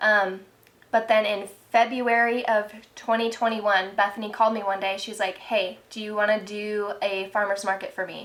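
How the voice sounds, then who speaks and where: A woman with a fairly high pitch talks at a moderate pace in a monotone, flat intonation. Her loudness swings widely. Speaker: small business owner. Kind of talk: casual chat. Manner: soft-spoken.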